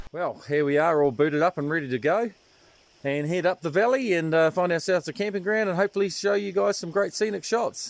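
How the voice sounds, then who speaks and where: A man with a New Zealand accent, high-pitched, very fast, with ordinary pitch variation. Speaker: hiking vlogger. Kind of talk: outdoor vlog narration. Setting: outdoors. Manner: hesitant, many fillers; quiet.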